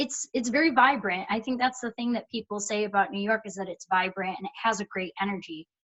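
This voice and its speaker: A woman talks in a strong Michigan accent. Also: hardly any pauses. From Michigan (Dearborn), US Midwest. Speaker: performer and voice actor. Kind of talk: casual interview chat.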